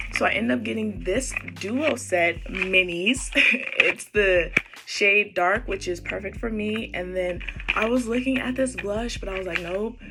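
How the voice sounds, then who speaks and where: Noticeable background noise is present. The talking proceeds at a fairly slow pace. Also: woman. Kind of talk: casual talk to camera, shopping haul. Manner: upbeat, chatty.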